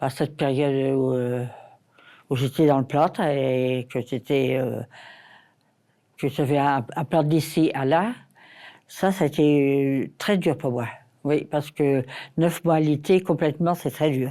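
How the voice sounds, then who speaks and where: A woman's very deep, low voice with a dark, mellow tone, at a very slow pace with long, frequent pauses and ordinary pitch variation. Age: 80s+. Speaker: care home resident. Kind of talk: testimony. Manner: halting.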